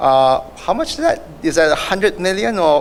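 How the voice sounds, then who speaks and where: A man with a Singaporean accent speaks at a moderate pace over noticeable background noise. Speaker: award winner, health industry professional. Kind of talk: acceptance speech.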